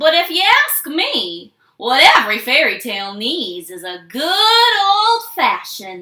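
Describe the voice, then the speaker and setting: Using a put-on character voice, a woman speaks at an extremely high pitch and a fairly slow pace with hardly any pauses. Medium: read story.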